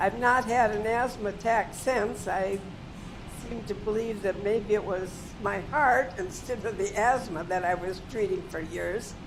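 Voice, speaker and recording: A woman with an American accent and a medium pitch speaks at a fairly slow pace with ordinary pitch variation, over music in the background and audible room echo. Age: 90s. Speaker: patient. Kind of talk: testimony.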